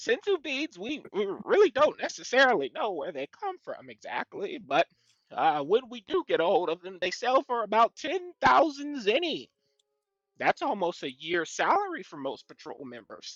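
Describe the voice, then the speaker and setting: A man does a put-on character voice at an extremely high pitch, with very wide pitch swings and big swings in loudness. He moves at a moderate pace, and the sound is dry and close with no echo. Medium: actual play. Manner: fussy, scholarly.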